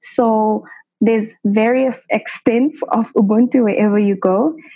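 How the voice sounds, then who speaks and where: With music behind her, the woman's voice sits fairly high. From South Africa, Soweto (Johannesburg). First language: Sesotho. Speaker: medical doctor. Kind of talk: interview.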